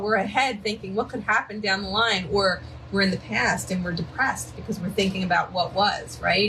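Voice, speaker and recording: Someone talks at a fairly quick pace with a Philadelphia accent over noticeable background noise. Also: woman. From Philadelphia, US. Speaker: psychic medium. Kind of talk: live-stream card reading. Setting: live stream from home by a river, dogs present. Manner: casual, chatty.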